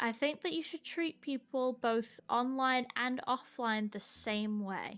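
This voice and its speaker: A woman with a British accent speaks very slowly, yet with hardly any pauses. Her pitch is high, with ordinary variation. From Britain. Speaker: streamer hosting call-ins. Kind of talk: casual advice chat on a call.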